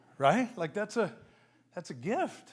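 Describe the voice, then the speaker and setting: A man's animated tone with very wide pitch swings. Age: 60s. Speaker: business coach and keynote speaker. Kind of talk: keynote speech.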